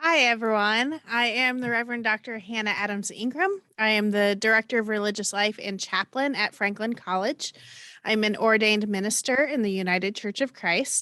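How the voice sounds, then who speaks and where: A woman with a Midwestern American accent speaks at a fairly high pitch with ordinary pitch variation. Her tone is bright and sharp, and her pace is moderate. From Indiana, US (Johnson County). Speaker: college chaplain and minister. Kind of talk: panel discussion. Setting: video call.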